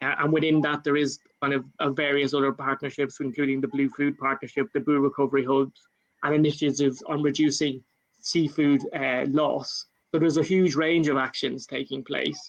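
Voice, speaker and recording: A man's fairly high-pitched voice with an Irish accent, at a fairly quick pace, with fairly even intonation. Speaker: government climate official. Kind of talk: panel talk. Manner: halting, many fillers.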